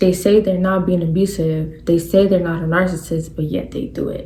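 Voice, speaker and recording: Audible room echo fills the clip. The speaker is a woman. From New York. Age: 20s. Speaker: podcast host. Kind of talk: casual monologue. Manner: animated.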